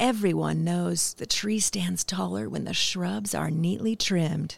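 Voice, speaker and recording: A very deep, low female voice on a very clean recording over a silent background. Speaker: podcast host and voiceover artist. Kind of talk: reading aloud a personal essay.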